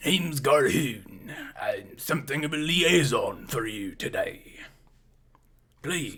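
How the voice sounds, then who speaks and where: Raspy and put-on, this character voice moves at a fairly slow pace with long, frequent pauses. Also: man, fairly high pitch for a man. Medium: actual play. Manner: warm, confident.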